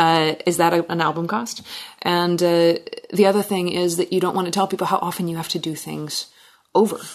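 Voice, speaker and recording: A woman speaks in an American accent with fairly low pitch. Her pace is fairly quick and her intonation monotone and flat. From Washington State, US. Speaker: singer-songwriter. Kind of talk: casual interview chat. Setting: in person in a living room.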